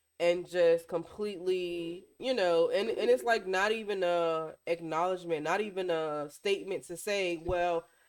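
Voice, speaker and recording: The speech moves at a moderate pace. There are hardly any pauses. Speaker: podcast co-host. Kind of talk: casual chat. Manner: loud.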